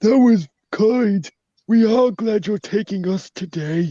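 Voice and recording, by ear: A put-on character voice with a fairly high pitch at a fairly slow pace.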